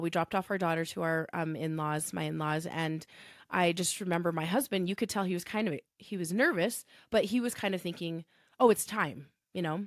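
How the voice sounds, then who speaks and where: Over a very clean recording with a silent background, a woman speaks in a plain, everyday voice at a fairly quick pace, fairly low in pitch with ordinary pitch variation. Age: 40s. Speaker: pharmacist and bereaved mother. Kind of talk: personal testimony in interview.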